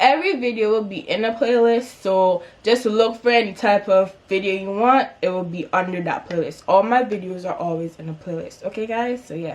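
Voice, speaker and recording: At a moderate pace and medium pitch, a woman talks with hardly any pauses, ordinary pitch variation and big swings in loudness, over noticeable background noise. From Antigua and Barbuda. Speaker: YouTuber. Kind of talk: storytime vlog. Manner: animated.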